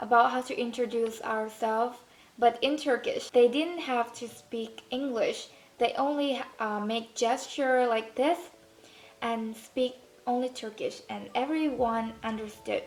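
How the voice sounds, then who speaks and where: Her pitch high and her intonation fairly even, a woman talks at a fairly slow pace with a Thai accent. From Thailand. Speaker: student vlogger. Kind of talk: casual vlog talk.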